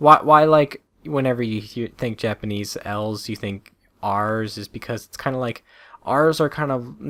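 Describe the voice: The speaker simply reads the text aloud.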